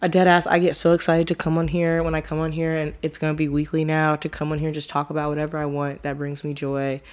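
At a very fast pace with hardly any pauses, a woman talks in a very deep, low pitch and an animated tone, on a very clean recording with a silent background. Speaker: solo podcast host. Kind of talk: casual monologue.

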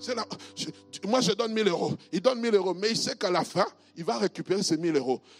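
At a fairly quick pace, a man speaks at a high pitch in a dry, close sound with no echo. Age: 50s. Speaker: pastor. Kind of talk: sermon.

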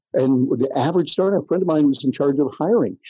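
With an American accent, a man talks in a dark, mellow tone and lively intonation, the sound dry and close with no echo. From US Midwest, rural Michigan near Jackson. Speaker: professional speaker and tech marketing consultant. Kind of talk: interview. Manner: animated.

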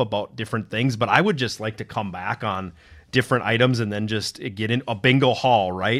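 A man talks at a fairly quick pace with an Upper Midwest accent. The recording is very clean, with a silent background. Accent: Upper Midwest American. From northern Minnesota. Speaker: podcast co-host, IT professional. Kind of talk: casual chat. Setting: studio.

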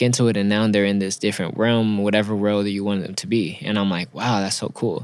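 Speaking with an American accent, a man holds a fairly low pitch in a monotone, flat delivery. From Los Angeles (Inglewood), California. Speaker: fashion designer and artist. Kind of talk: casual interview.

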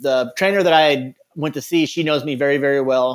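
A man talks at a fairly high pitch with ordinary pitch variation. It is a plain, everyday voice, moving at a fairly quick pace. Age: 30s. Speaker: Paralympic athlete and rancher. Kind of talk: interview testimony.

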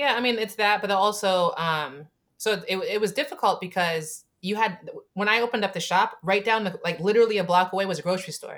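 A woman with a plain, everyday voice talks at a medium pitch. She moves at a fairly quick pace with ordinary pitch variation. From Camden, New Jersey. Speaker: Navy veteran and chocolate company founder. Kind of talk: interview conversation.

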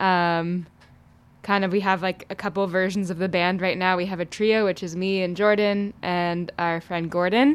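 A woman with an American accent uses a plain, everyday voice at a medium pitch and a moderate pace, with fairly even intonation on a very clean recording with a silent background. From Oakland, California. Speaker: singer-songwriter, band frontwoman. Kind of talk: casual interview chat. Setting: studio.

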